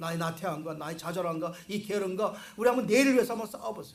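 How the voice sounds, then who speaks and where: A man with a high pitch talks at a very fast pace with ordinary pitch variation. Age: 60s. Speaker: pastor. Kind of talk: sermon.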